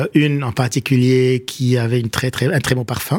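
This man talks at a moderate pace in a medium pitch. His pitch moves with ordinary variation. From Lebanon, Beirut (Achrafieh). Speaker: writer and political scientist. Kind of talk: radio interview. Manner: halting, many hesitations.

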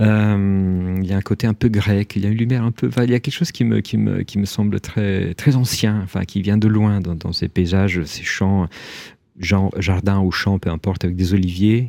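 At a moderate pace, a man with a fairly low, dark and mellow voice speaks with fairly even intonation. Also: dry, close sound with no echo, very clean recording, silent background. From Italy, Rome. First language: Italian (speaking French). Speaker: writer. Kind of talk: interview. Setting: radio studio. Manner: halting, many repetitions.

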